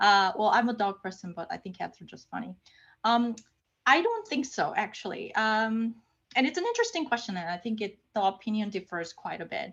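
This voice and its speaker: With a non-native accent, a woman with a fairly high pitch talks at a moderate pace, her volume showing big swings, against a quiet background. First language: not English. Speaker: research scientist and lecturer. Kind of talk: lecture. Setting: online lecture. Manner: casual, with frequent fillers and repetitions.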